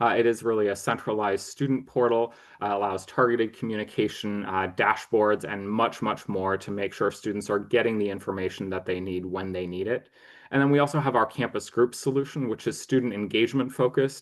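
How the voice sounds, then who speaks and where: A man with an American accent has a plain, everyday voice at a fairly low pitch. His intonation is fairly even. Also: fairly quick pace. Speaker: marketing executive. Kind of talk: webinar presentation. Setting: online webinar. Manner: frequent filler words.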